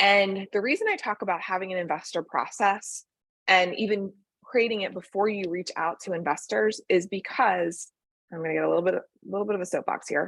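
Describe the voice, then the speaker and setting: In a quiet background, a woman with an unremarkable speaking voice talks at a fairly quick pace, medium pitch and fairly even intonation. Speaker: venture capital fundraising consultant. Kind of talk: presentation to founders.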